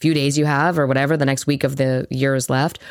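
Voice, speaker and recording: A woman with a very deep, low voice speaks at a fairly quick pace in a monotone, flat intonation. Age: 40s. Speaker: podcast co-host, hairstylist. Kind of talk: casual chat.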